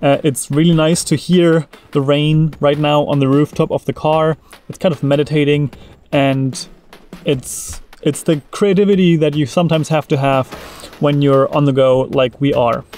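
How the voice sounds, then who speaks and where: A man talks at a moderate pace with fairly even intonation, the sound dry with no echo. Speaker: travel vlogger. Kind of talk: casual vlog chat. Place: car. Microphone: phone near.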